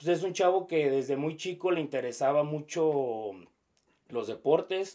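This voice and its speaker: Speaking at a fairly slow pace with a slight Jalisco accent, a man has fairly high pitch, a dark, mellow tone and ordinary pitch variation. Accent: slightly rural Jalisco Mexican. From Mexico, Jalisco (Zapotlanejo). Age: 30s. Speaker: sports broadcaster. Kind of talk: interview. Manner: halting, many fillers.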